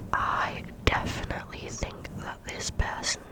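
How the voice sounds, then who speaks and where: Whispering very slowly, a woman is heard over noticeable background noise. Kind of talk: ASMR Reddit story reading, whispered. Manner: whispered, up close.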